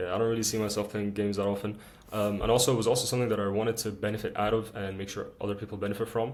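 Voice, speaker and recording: Fairly low male voice with an Arabic accent, very fast and monotone, with audible room echo. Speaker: student YouTuber. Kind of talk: casual chat.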